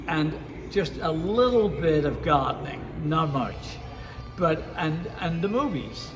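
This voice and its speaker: At a very slow pace, a man with a fairly high pitch and ordinary pitch variation speaks amid noticeable background noise and audible room echo. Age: 80s+. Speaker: radio DJ and music producer. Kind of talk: interview. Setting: lounge, in person.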